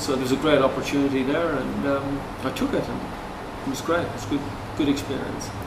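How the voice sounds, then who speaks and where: A man speaks with an Irish accent at a moderate pace, his intonation fairly even. Noticeable background noise and audible room echo are present. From Ireland, Cork. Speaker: real estate agent. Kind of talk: interview.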